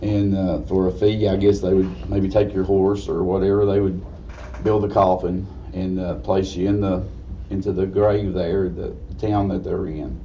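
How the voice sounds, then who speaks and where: A man with a very deep, low pitch and an Appalachian accent speaks at a moderate pace with ordinary pitch variation. Audible room echo and noticeable background noise fill the recording. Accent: Southern US (Appalachian). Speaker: funeral director. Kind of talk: lecture.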